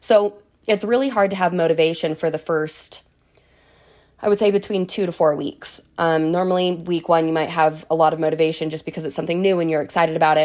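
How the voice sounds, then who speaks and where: Very cleanly recorded against a silent background, a woman with an unremarkable speaking voice talks at a fairly quick pace in a fairly low pitch with fairly even intonation. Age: 20s. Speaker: fitness podcast host. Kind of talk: solo podcast monologue.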